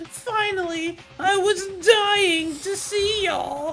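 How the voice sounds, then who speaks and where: A woman's put-on character voice, extremely high-pitched and theatrical, at a very slow pace against clear background noise. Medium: game stream. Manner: mocking, theatrical.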